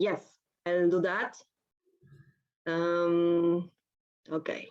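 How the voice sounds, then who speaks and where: The speaker has a Spanish accent. Intonation stays monotone and flat. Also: woman, fairly low pitch for a woman. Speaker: philosophy professor. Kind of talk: academic conference talk. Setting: video call.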